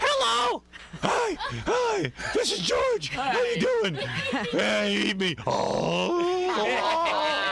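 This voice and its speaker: Loud background noise fills the recording. The put-on character voice moves at a very slow pace. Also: man. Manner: exaggerated, silly.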